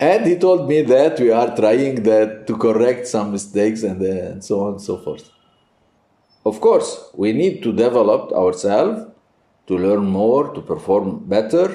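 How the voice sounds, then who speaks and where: This man's voice has a dark, mellow tone at a medium pitch. He talks fairly slowly with lively intonation. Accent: non-native. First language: Arabic. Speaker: priest and Byzantine music teacher. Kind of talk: interview. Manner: halting.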